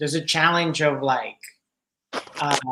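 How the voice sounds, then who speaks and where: This speaker talks at a moderate pace with a Spanish accent. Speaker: podcast host. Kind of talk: casual chat.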